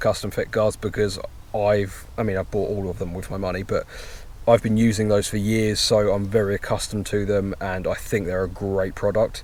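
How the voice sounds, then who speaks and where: With a British accent, a man talks at a fairly quick pace. His pitch is fairly low. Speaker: motorcycle vlogger. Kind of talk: casual vlog while riding. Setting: outdoors on a motorcycle.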